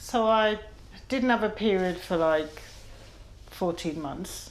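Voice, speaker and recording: The woman speaks at a very slow pace, with ordinary pitch variation. Audible room echo surrounds her voice. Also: medium pitch for a woman. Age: 50s. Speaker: patient. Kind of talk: medical consultation.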